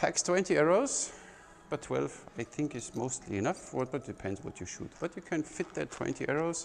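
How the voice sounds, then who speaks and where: Using vocal fry, a man talks at a moderate pace with a fairly high pitch and lively intonation. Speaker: archery instructor and gear reviewer. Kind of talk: product review demo. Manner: casual, animated.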